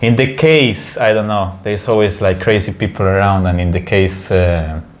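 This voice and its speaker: Against noticeable background noise, a man speaks at a fairly low pitch and moderate pace with ordinary pitch variation. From Peru, then Italy from age ten. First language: Spanish. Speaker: podcast host. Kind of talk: casual chat. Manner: halting, many fillers.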